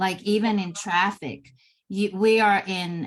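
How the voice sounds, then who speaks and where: Somewhat breathy and at a medium pitch, a woman talks at a very slow pace in a very clean recording with a silent background. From Finland. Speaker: parenting coach. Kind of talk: casual chat.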